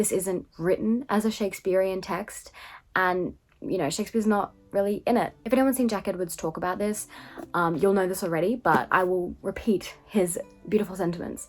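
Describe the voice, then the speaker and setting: A woman at a medium pitch talks at a fairly quick pace with fairly even intonation. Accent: Australian. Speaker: book reviewer. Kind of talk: casual book review. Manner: conversational, many fillers.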